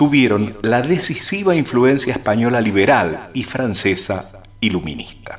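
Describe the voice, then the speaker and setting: An ordinary speaking voice from a man at medium pitch, with lively intonation and a fairly slow pace. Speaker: radio co-host and announcer. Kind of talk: radio conversation and reading documents aloud.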